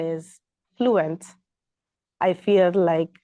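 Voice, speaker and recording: A woman with a Sint Maarten accent speaks in a dark, mellow tone, the sound dry and close with no echo. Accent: Sint Maarten Caribbean English. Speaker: hospitality and marketing professional. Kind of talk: interview answer.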